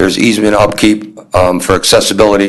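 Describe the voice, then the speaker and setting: Noticeable noise behind a man's moderately paced delivery. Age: 60s. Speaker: municipal sewer department supervisor. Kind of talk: presentation at town board meeting. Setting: town board meeting room.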